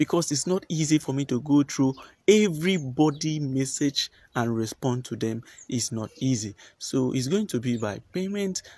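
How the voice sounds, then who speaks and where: A man's somewhat breathy, dark and mellow voice, moderate in pace and lively in intonation, in a dry sound with no echo. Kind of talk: casual vlog chat. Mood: earnest, persuasive. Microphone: phone near.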